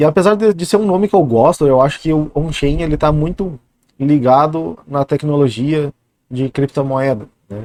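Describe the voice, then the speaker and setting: A man's fairly high voice, dark and mellow in tone, with ordinary pitch variation and a dry, close sound free of echo. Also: moderate pace. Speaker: youtuber, bitcoin commentator. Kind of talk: casual vlog monologue.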